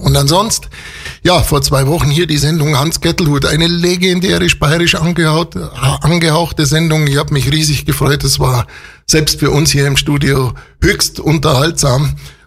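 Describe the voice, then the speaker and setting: A man's fairly high voice at a moderate pace, with ordinary pitch variation, very even loudness and noticeable background noise. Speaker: local radio host. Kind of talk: radio show presenting and interview. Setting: radio studio. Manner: animated.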